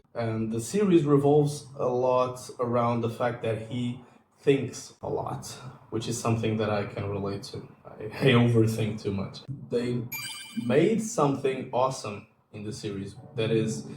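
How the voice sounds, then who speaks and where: Music plays in the background as a man with a Portuguese accent speaks at a fairly slow pace in a medium pitch, with ordinary pitch variation, big swings in loudness and audible room echo. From Portugal. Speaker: YouTuber. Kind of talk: casual vlog chat. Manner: hesitant, with fillers.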